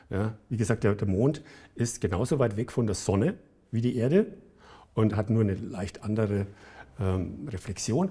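In a dark, mellow tone that is somewhat breathy, the speaker keeps a moderate pace with ordinary pitch variation and long, frequent pauses on a very clean recording with a silent background. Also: man, fairly low pitch for a man. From Bavaria, Germany. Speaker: engineer and entrepreneur. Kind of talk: interview.

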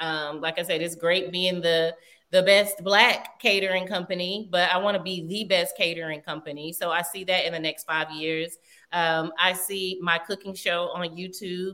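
A woman with a Southern US accent speaks at a moderate pace in a fairly low pitch. Her intonation is monotone and flat, and her tone bright and sharp. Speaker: chef and business owner. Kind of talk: interview. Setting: remote call.

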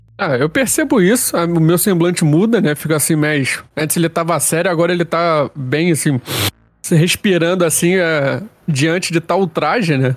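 A man's high voice in a Rio de Janeiro accent, at a moderate pace, with ordinary pitch variation and very even loudness. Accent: carioca. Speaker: RPG player. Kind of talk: tabletop roleplay in character.

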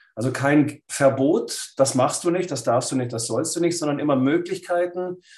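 A man with an unremarkable speaking voice, fairly high in pitch with ordinary variation, at a moderate pace and hardly any pauses. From Swabia, Lake Constance, Germany. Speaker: writer and philosopher. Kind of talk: interview.

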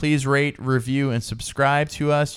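A man with an ordinary speaking voice talks at a moderate pace in a fairly high pitch. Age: 40s. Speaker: podcast co-host. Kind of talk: casual chat. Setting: home recording late at night.

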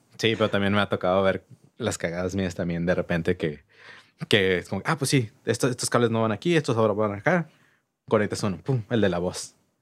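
Recorded very cleanly against a silent background, a man speaks in an ordinary speaking voice, fairly low-pitched, with lively intonation at a fairly quick pace. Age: 30s. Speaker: music venue manager and promoter. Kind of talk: casual chat.

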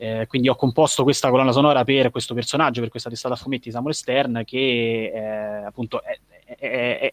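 The delivery comes fairly quickly in a monotone, flat intonation, with a dry, close sound and no echo. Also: man. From Rome, central Italy. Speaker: writer and musician. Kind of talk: interview.

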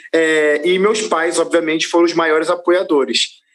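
A man is speaking. His pace is moderate. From Brazil, Rio de Janeiro. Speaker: gospel singer and presenter. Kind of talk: casual interview. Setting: studio.

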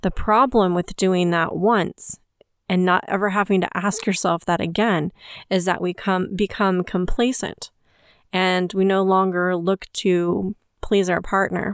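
Speaking at a fairly slow pace in an ordinary speaking voice, a woman with a medium pitch, fairly even intonation and very even loudness comes through a very clean recording with a silent background and a dry, close sound with no echo. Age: 40s. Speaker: podcast host. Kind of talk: solo podcast monologue.

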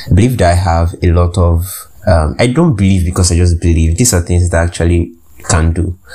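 A man's very deep, low voice at a fairly quick pace, fairly even intonation, noticeable background noise. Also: very even loudness. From Nigeria. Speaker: podcast host. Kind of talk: casual monologue. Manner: hesitant, many fillers.

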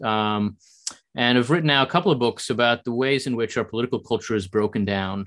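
Over a quiet background, a man talks in a plain, everyday voice at a medium pitch with ordinary pitch variation. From US, New Jersey. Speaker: think tank scholar. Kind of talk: interview.

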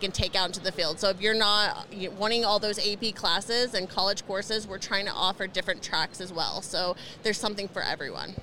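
A woman with an American accent talks at a fairly quick pace, with fairly even intonation and a medium pitch. She has an unremarkable speaking voice. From Indiana. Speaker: school board member. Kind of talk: interview conversation.

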